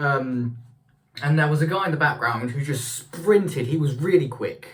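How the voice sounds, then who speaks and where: In a room with audible echo, a man with a British accent talks at a moderate pace in a fairly high pitch with ordinary pitch variation. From UK. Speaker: vlogger. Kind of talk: casual vlog. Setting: bathroom. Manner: halting.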